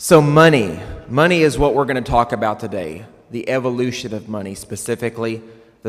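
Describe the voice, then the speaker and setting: Here a man speaks with a West Texas accent. His pitch is medium, with ordinary variation. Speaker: conference speaker. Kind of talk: keynote talk. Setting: stage with audience.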